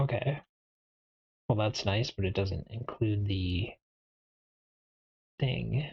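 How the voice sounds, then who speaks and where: Soft-spoken, the voice moves at a very slow pace with long, frequent pauses. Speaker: IT learner streaming lab practice. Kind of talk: tutorial. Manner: quiet.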